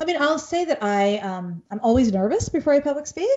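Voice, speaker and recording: This woman has an unremarkable speaking voice, talking at a fairly quick pace with lively intonation. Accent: American. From Bengali diaspora, US. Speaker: children's author and pediatrician. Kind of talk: casual interview.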